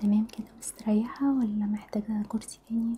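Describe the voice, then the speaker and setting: Soft-spoken and monotone, a woman with a fairly high pitch talks at a fairly slow pace against noticeable background noise. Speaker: hijab stylist. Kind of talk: ASMR role-play consultation. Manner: soft-spoken, friendly.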